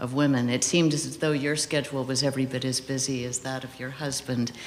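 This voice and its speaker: The speaker is soft-spoken, with noticeable background noise behind the voice. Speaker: interviewer. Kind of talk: interview. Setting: stage with audience.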